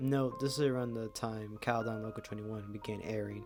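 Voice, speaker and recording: Music plays in the background as a man speaks at a very fast pace. His pitch is medium, with ordinary variation. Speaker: horror story narrator. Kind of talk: horror story narration.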